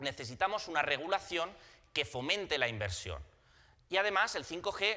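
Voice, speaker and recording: A man speaks quickly-ish, at a fairly quick pace, with a fairly high pitch and a bright, sharp tone. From Spain. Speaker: telecom consultant, conference presenter. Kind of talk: conference presentation. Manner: halting, with frequent repetitions and fillers.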